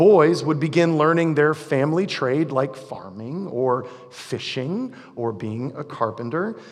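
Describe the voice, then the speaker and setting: Audible room echo and noticeable background noise surround the voice. A man speaks slowly at a fairly high pitch with lively intonation. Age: 40s. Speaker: pastor. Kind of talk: sermon. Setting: church. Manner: casual, conversational.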